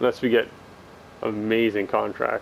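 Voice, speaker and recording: A man talks in a relaxed tone at a moderate pace. There is noticeable background noise. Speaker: gaming video creator. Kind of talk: gameplay commentary. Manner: stuttering, self-correcting; casual, relaxed.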